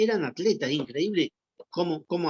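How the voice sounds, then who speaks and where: The speaker is a man with a Rioplatense accent. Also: dry, close sound with no echo. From Argentina. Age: 70s. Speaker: former athlete. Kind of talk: interview testimony. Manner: halting with repetitions.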